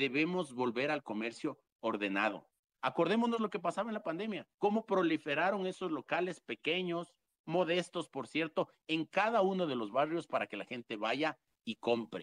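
Speaking at a moderate pace in a fairly high register, this man's voice swings very widely in pitch and carries vocal fry, recorded dry and close with no echo. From Quito, Ecuador. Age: 30s. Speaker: mayoral hopeful. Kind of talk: political interview. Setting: online audio room.

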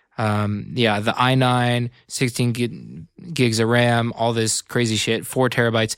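A man with an American accent uses a plain, everyday voice at a medium pitch with fairly even intonation and a fairly slow pace. The recording is very clean, with a silent background. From Northern California, Bay Area. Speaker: electronic music producer and radio host. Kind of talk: casual chat. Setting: studio.

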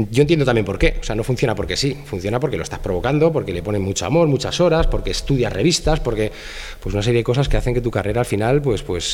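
Noticeable background noise sits under a man speaking with lively intonation. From Spain, Madrid. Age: 40s. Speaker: fashion photographer. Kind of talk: casual interview.

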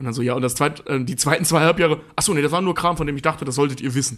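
With fairly even intonation, the words come at a very fast pace. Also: man. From eastern Germany. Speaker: podcast co-host. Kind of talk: casual chat.

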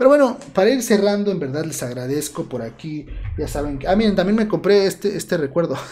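With noticeable background noise behind him, a man talks quickly at a high pitch with very wide pitch swings. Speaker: history student and channel creator. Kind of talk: casual livestream chat. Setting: home livestream.

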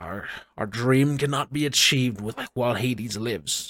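At a medium pitch, a man performs a put-on character voice at a moderate pace with ordinary pitch variation. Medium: actual play. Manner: hostile, contemptuous.

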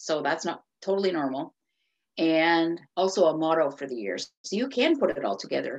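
A woman's fairly low voice, marked by vocal fry, moves at a moderate pace through very wide pitch swings. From Cape Breton, Nova Scotia, Canada. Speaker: author. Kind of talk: interview.

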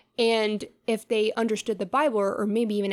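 A woman speaks with a fairly high pitch. The recording is very clean, with a silent background. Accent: American. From US South. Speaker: life coach and business owner. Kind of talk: casual interview.

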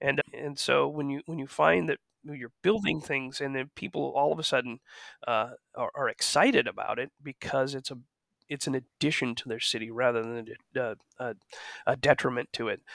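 A man with an American accent, vocal fry and ordinary pitch variation. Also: medium pitch for a man, moderate pace. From US (small town). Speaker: architect. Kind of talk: interview. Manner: halting.

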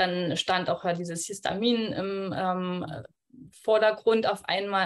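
A woman of medium pitch with fairly even intonation has a plain, everyday voice, captured on a very clean recording with a silent background. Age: 20s. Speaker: midwife, coaching client. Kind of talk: casual interview.

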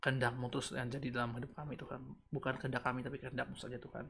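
Delivered at a very fast pace, the speech holds a fairly even intonation. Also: man. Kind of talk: livestream devotional talk, casual. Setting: online livestream video. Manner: chatty, informal, mixes Indonesian and English.

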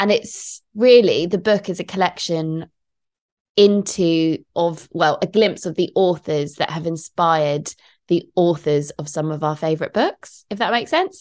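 Against a quiet background, a woman speaks at a fairly slow pace in a fairly low pitch with ordinary pitch variation. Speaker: podcast host. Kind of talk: casual chat.

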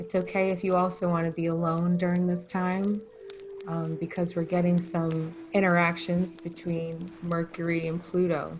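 A woman's fairly low, flat, monotone voice at a moderate pace over noticeable background noise. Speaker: host, spiritual healer. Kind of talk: intro, then guided breathing. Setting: live virtual call.

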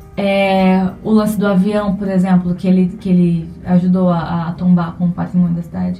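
Over background music, a woman speaks at a moderate pace in a fairly low pitch with monotone, flat intonation. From Brazil, Alta Floresta, Mato Grosso. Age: 20s. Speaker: cultural producer and theatre student. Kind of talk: interview.

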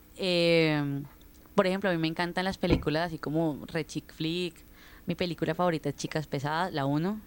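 A woman has a normal speaking voice with fairly low pitch and fairly even intonation at a moderate pace, on a very clean recording with a silent background. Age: 20s. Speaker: sociology student. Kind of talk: casual chat.

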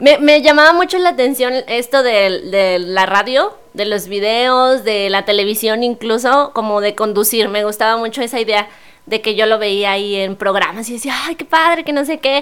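With an unremarkable speaking voice, a woman talks at a fairly high pitch and a moderate pace. Her intonation is lively, and she takes hardly any pauses. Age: 20s. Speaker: primary school teacher. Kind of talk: casual interview.

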